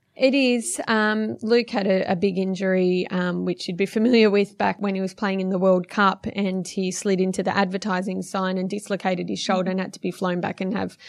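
A woman with an Australian accent at a fairly quick pace, with hardly any pauses, fairly even intonation and a quiet background. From western Sydney, Australia. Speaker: footballer's wife. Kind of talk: interview.

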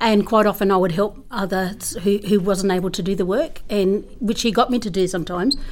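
With an Australian accent, a woman speaks at medium pitch and a fairly quick pace with hardly any pauses. Her pitch variation is ordinary. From far western New South Wales, Australia (Menindee). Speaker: school principal. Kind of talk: interview.

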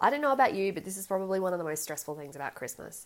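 Over a silent background in a very clean recording, a woman with an Australian accent speaks very fast at a medium pitch, her voice making very wide pitch swings. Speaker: podcast host. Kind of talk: casual solo podcast talk.

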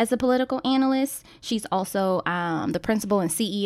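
A woman's voice on a very clean recording, with a silent background. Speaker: podcast co-host. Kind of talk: casual chat. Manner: animated, chatty.

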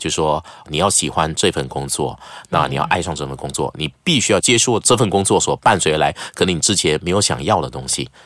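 Vocal fry and lively intonation from a man with a very deep, low pitch, at a fairly quick pace. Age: 40s. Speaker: news anchor. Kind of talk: casual chat.

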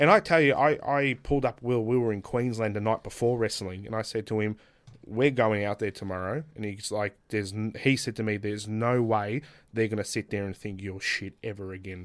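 A man with an Australian accent at a fairly quick pace, in a very clean recording with a silent background. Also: fairly low pitch for a man, ordinary pitch variation. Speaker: professional wrestler. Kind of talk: casual chat. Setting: studio.

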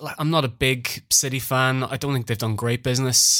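With an Irish accent, a man talks at a moderate pace with fairly even intonation. The recording is very clean, with a silent background. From Ireland. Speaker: football trader and podcast co-host.

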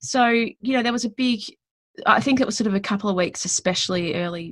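A woman with an Australian accent speaks at a fairly quick pace. Her intonation is lively and her voice somewhat breathy. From Western Australia. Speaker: business consultant. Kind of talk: casual interview chat. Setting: video call from home.

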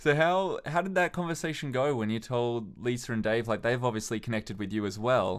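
A man with a normal speaking voice talks at a fairly quick pace, medium in pitch, with lively intonation, on a very clean recording with a silent background. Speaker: podcast host. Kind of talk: casual chat.

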